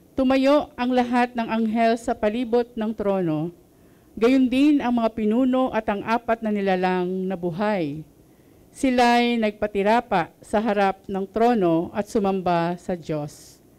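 Very slowly, a woman speaks at fairly high pitch with ordinary pitch variation. Her tone is dark and mellow. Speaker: scripture reader. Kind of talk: reading aloud. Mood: solemn, measured. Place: hall. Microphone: handheld.

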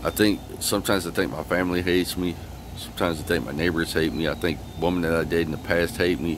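Against noticeable background noise, a man with a very deep, low pitch talks at a very fast pace with fairly even intonation, the sound dry with no echo. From Michigan. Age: 40s. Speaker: vlogger. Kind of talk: personal video monologue. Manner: halting, repetitive. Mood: aggrieved, complaining. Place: street. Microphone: phone near.

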